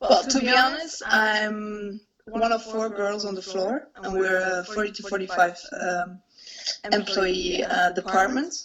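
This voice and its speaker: A woman talks at a fairly slow pace with a Flemish accent. Her pitch is medium. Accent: Belgian (Flemish) English. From Belgium. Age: 20s. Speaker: investment banker. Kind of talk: interview. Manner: hesitant, many fillers.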